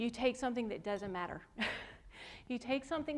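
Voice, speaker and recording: Her voice is high-pitched, with a Southern US accent and lively intonation. The woman talks at a very fast pace. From US South. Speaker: artist. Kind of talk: lecture.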